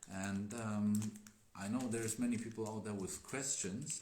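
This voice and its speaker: With a non-native accent, a man speaks at a moderate pace and fairly low pitch, his intonation fairly even, and audible room echo around him. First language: not English. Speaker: Daoist teacher. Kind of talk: live stream chat. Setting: Instagram live stream. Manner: hesitant.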